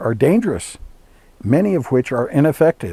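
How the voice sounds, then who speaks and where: Using a dark, mellow tone, a man with an American accent speaks at a fairly slow pace. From Colorado. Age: 70s. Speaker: spiritual teacher. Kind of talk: personal life story. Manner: hesitant fillers.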